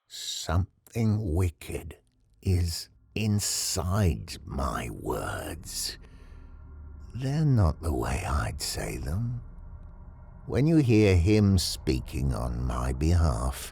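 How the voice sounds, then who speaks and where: A man speaks very slowly in a gruff, theatrical tone. His very deep, low voice swings very widely in pitch. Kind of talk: literary horror narration. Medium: read story. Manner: theatrical, wry.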